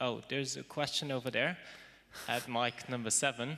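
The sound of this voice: Delivered at a moderate pace, the voice has a bright, sharp tone and fairly even intonation. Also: man.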